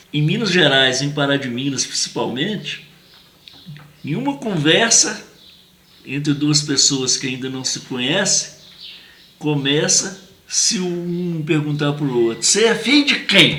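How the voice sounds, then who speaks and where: Lively intonation broken by long, frequent pauses, over noticeable background noise. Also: man, fairly slow pace. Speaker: memorialist and show host. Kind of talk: interview host introduction.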